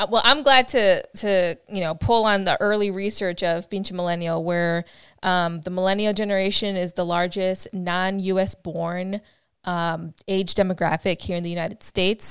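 An unremarkable speaking voice belongs to a woman of medium pitch with fairly even intonation. She talks at a moderate pace on a very clean recording with a silent background. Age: young. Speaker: podcast co-host. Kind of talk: casual chat. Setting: livestream.

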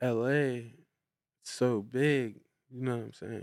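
An unremarkable speaking voice from a man with an American accent, medium pitch and fairly even intonation, in a very clean recording with a silent background. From Brownsville, Pennsylvania. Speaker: rapper and dog breeder. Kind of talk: casual interview chat.

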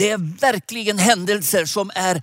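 A man with a high voice speaks very slowly and with ordinary pitch variation, recorded very cleanly against a silent background with a dry, close sound and no echo. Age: old. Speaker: preacher. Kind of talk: sermon. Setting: digital conference broadcast.

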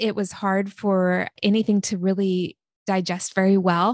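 An ordinary speaking voice from a woman with an American accent, medium in pitch and at a fairly slow pace, with a dry, close sound, no echo, and a quiet background. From small-town Oregon. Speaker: author and former writing teacher. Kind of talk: testimony.

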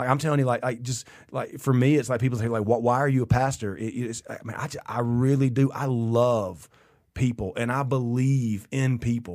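Over a silent background in a very clean recording, a man speaks at a moderate pace and medium pitch with fairly even intonation. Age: 40s. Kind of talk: casual chat. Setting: studio. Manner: halting, many repetitions.

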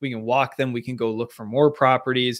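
In an American accent, a man with an unremarkable speaking voice talks at a medium pitch with fairly even intonation, on a very clean recording with a silent background. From Seattle, Washington, US Pacific Northwest. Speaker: real estate agent and former Olympic rower. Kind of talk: interview.

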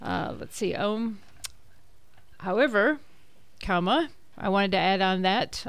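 A woman talks at a fairly slow pace with a medium pitch and fairly even intonation. It is a normal speaking voice. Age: 60s. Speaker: Medicare advisor. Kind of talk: radio panel interview. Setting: radio studio.

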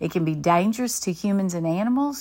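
A woman with a Southern US accent and lively intonation, on a very clean recording with a silent background. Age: 50s. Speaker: Bible study teacher and counselor. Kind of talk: conference talk. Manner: halting.

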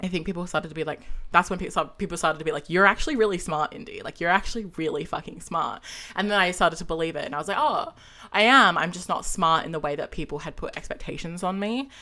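A woman with an Australian accent at a very fast pace, medium pitch, ordinary pitch variation and big swings in loudness. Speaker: podcaster and gender studies student. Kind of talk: casual interview chat. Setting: online call.

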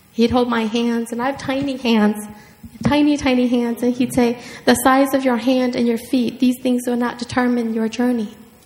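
Noticeable background noise sits under a monotone, flat delivery at a moderate pace. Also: woman, high pitch for a woman. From Minnesota, Hmong refugee family. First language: Hmong. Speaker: writer. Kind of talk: author talk and reading aloud. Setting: stage with audience.

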